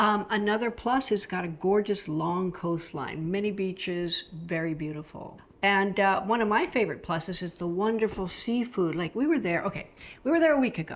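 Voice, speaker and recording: A woman with an American accent speaks in an unremarkable speaking voice at medium pitch. Her pace is moderate and her intonation lively. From United States. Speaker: travel vlogger. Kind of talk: casual explainer video. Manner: chatty, with many fillers.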